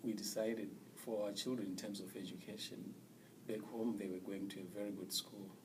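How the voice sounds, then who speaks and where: In a Zimbabwean accent, a man talks at a fairly quick pace in a fairly low pitch with monotone, flat intonation and audible room echo. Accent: non-American, Zimbabwean. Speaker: immigrant interviewee, former teacher. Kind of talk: interview. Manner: halting, with fillers.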